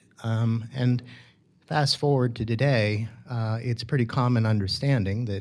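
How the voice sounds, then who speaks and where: Recorded very cleanly against a silent background, a man speaks with fairly even intonation. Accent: slight Southern US. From California. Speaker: biotech company CEO. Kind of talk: conference talk. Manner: halting, many fillers.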